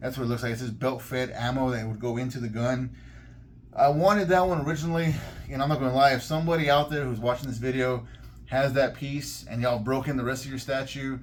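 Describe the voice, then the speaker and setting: This man talks at a very fast pace in a medium pitch, his voice somewhat breathy, with audible room echo. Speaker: collectibles YouTuber. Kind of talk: product review. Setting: in a collectibles store. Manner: animated.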